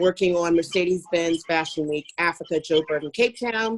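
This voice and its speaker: An unremarkable speaking voice, a woman's fairly low one, moves at a moderate pace with fairly even intonation in a dry, close sound with no echo. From US Northeast, Philadelphia. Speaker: fashion industry consultant. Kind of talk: webinar self-introduction. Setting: online video call.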